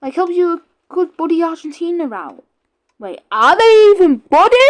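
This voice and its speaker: A British-accented woman at an extremely high pitch, with very wide pitch swings, big swings in loudness and a moderate pace. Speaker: gaming YouTuber. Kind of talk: gameplay commentary. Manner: casual, rambling.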